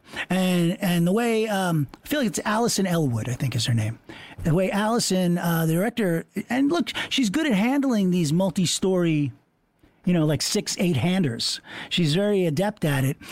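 With an American accent, a man speaks at a moderate pace and very even loudness, his high pitch making very wide swings. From Long Island, New York. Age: 50s. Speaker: podcast host. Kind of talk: casual chat.

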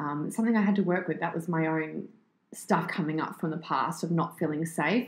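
In an Australian accent, a woman talks at a fairly quick pace, her fairly low pitch showing ordinary variation. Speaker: fitness entrepreneur and personal trainer. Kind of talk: interview, casual chat.

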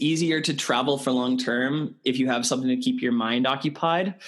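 A man speaks at a moderate pace with a Canadian accent. He has a normal speaking voice and fairly even intonation. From Canada. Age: 30s. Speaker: TEDx event organizer and speaker coach. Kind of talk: interview conversation.

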